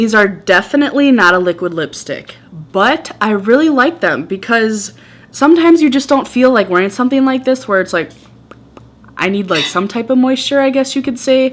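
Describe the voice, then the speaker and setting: With a Wisconsin accent, a woman speaks at a high pitch and a moderate pace with lively intonation amid noticeable background noise. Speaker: beauty vlogger. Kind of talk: casual product review. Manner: animated.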